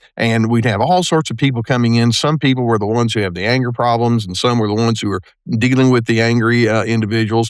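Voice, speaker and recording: A man talking at a very fast pace with fairly even intonation over a quiet background. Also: medium pitch for a man. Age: 70s. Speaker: retired therapist. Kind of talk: interview conversation. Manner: halting, many fillers and repeated words.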